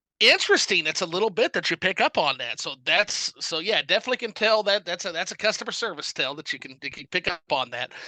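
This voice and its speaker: Speaking very fast with hardly any pauses, a man with a slight Southern US accent has a high pitch, a bright, sharp tone and lively intonation, recorded dry and close with no echo against a quiet background. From US South. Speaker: gaming YouTuber and reviewer. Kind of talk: casual chat.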